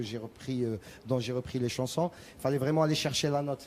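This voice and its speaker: A man with an Arabic accent, medium pitch, a dark, mellow tone, fairly even intonation and a fairly quick pace. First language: Arabic (speaking French). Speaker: rai singer. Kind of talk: TV interview. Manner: halting, many repetitions.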